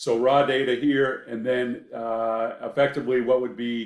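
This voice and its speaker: A man talks with a slight Maine accent. His intonation is monotone and flat. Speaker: professor. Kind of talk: lecture. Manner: hesitant, many fillers.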